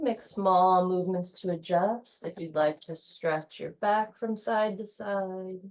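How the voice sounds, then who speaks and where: Soft-spoken and calm in tone, a woman speaks at a medium pitch with fairly even intonation. Her pace is very slow, with hardly any pauses. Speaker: yoga instructor. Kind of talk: guided yoga class. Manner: slow, calm.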